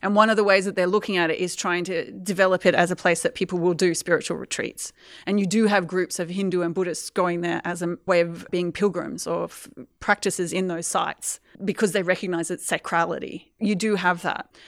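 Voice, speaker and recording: A woman's medium-pitched, monotone voice with flat intonation and an Australian accent, at a fairly quick pace, in a very clean recording with a silent background and a dry, close sound with no echo. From Australia, Queensland. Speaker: environmental historian and lecturer. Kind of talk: interview.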